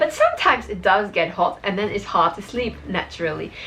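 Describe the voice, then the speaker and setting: An animated woman speaks with a Dutch accent against noticeable background noise. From Belgium, Dutch-speaking. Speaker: lifestyle vlogger. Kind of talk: casual tutorial vlog. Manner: animated, with frequent fillers.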